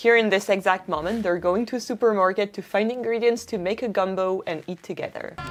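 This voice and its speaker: A woman with a French accent, fairly quick, hardly any pauses, fairly even intonation, music in the background. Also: medium pitch for a woman. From France. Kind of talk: casual talk to camera.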